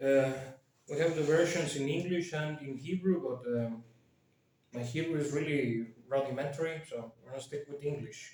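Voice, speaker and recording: A man speaks with a Spanish accent at a moderate pace, his pitch fairly high. His loudness swings widely while his intonation stays fairly even. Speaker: YouTuber. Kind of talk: casual commentary with reading aloud. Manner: hesitant, many fillers.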